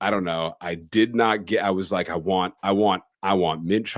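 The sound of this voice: The recording carries an unforced reading voice.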